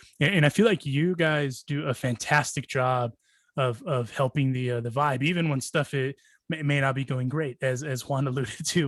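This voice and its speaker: A man with an ordinary speaking voice talks at a moderate pace and medium pitch, with fairly even intonation. The sound is dry and close, with no echo. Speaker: podcast host. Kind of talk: casual podcast hosting.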